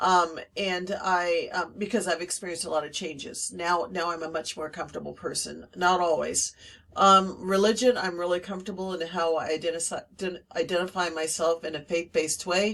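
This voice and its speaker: With an American accent, a woman speaks in a fairly low pitch at a moderate pace, her intonation fairly even and hardly any pauses. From Northern California. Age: 60s. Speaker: teacher. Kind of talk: personal reflection monologue. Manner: halting, many fillers.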